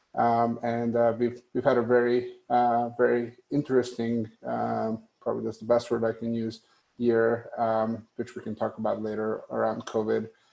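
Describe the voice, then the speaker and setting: A man with a Hungarian accent at a moderate pace. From Hungary. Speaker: tech company executive. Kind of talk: panel discussion. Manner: hesitant, many fillers.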